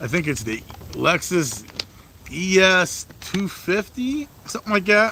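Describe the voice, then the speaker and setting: A man talks fairly slowly while noticeable background noise plays behind him. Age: 30s. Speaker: mobile mechanic and livestreamer. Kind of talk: casual livestream chat. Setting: outdoors by the garage. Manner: casual, lots of swearing fillers.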